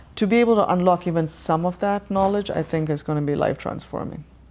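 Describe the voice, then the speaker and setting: A woman with an American accent, ordinary pitch variation, over a quiet background. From Tamil Nadu, southern India. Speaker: yoga practitioner. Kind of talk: interview.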